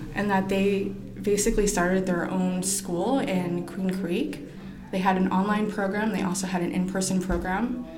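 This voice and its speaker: The speaker has an American accent and talks at a moderate pace with fairly even intonation and very even loudness, over noticeable background noise and audible room echo. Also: woman, medium pitch for a woman. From Arizona, US (Phoenix/Tempe). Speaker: painter. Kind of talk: casual chat.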